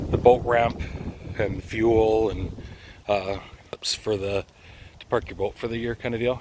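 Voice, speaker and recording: A man at medium pitch and a fairly slow pace, with long, frequent pauses and noticeable background noise. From Canada, northwestern Ontario (Thunder Bay). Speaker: vlogger. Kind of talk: casual walking vlog. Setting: outdoors. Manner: hesitant, many filler uhs.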